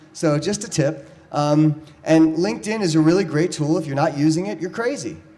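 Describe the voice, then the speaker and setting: Speaking at a fairly quick pace, a man with a fairly high voice is heard with audible room echo. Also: ordinary pitch variation. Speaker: startup speaker at panel event. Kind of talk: conference presentation with slides. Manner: fast.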